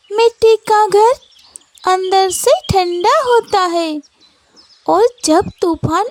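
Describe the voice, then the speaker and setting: A woman puts on a cartoonish character voice with an extremely high pitch, speaking in a calm tone at a very slow pace. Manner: calm, patient.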